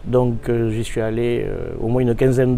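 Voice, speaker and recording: His voice is medium in pitch. The man speaks at a moderate pace. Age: 60s. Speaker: brass band conductor. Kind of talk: interview. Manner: hesitant, many fillers.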